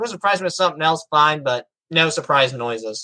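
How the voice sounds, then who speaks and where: A man with a fairly high pitch, bright, sharp tone and lively intonation, talking at a fairly quick pace in a dry, close sound with no echo. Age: young. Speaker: podcaster, motivational speaker. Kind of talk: interview answer.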